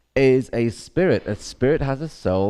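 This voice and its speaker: With a Northern Irish accent, a man speaks at medium pitch with very wide pitch swings. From Northern Ireland. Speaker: activist. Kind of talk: conference talk.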